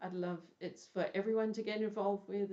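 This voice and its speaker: A woman with an ordinary speaking voice, fairly even intonation and a moderate pace. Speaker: podcast host; caring for her elderly mother. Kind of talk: live podcast, casual talk to camera. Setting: home, bedroom studio. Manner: warm, reflective, conversational.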